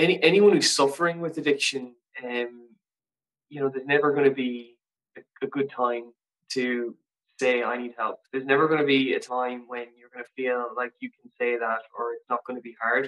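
A man with a western Irish accent at medium pitch, fairly even intonation and big swings in loudness, recorded dry and close with no echo. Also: moderate pace. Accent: Irish (west of Ireland). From Ireland, Castlebar (County Mayo). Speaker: recovering addict, drummer and model. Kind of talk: personal testimony in interview. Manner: halting, many fillers and repetitions.

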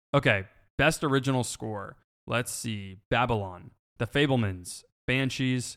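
A man speaks at a fairly slow pace, his pitch medium with ordinary variation. It is an unremarkable speaking voice on a very clean recording with a silent background. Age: 20s. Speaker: film podcast co-host. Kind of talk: casual chat.

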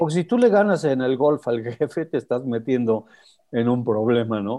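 A man's dark, mellow tone at medium pitch, with lively intonation and a fairly slow pace. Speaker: motorsport show host. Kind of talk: casual chat.

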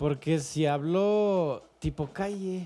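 The man's voice has a dark, mellow tone. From Calgary, Canada. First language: English (speaking Spanish). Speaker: musician and producer. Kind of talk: casual interview. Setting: studio. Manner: formal.

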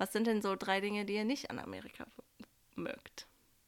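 On a very clean recording with a silent background, a woman talks at a moderate pace in a bright, sharp tone at a medium pitch. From Germany (village). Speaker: podcast host and au pair. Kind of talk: casual chat.

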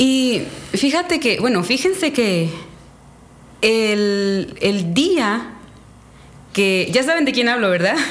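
In a room with audible echo, a woman with a fairly high pitch talks very slowly at very even loudness, her pitch swinging very widely between long, frequent pauses. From Mexico, Quintana Roo. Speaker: church speaker, Bible teacher. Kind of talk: casual chat about a Bible story.

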